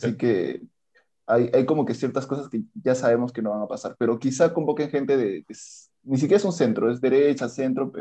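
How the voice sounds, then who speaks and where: A man with a dark, mellow tone and vocal fry talks at a very fast pace, at medium pitch with ordinary pitch variation. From southern Peruvian highlands (Andahuaylas). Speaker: law graduate, guest. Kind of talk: casual political discussion.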